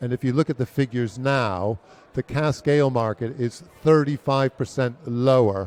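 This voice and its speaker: A man with an American accent talks at a moderate pace and medium pitch, with ordinary pitch variation. He has a normal speaking voice, recorded dry and close with no echo. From United States. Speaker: brewery chief executive. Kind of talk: interview.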